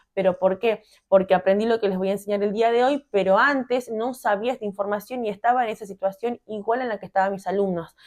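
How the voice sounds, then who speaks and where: Her intonation stays fairly even as she races along at a very fast pace. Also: quiet background. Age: 30s. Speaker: fitness coach and PE teacher. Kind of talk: vlog-style tutorial talk.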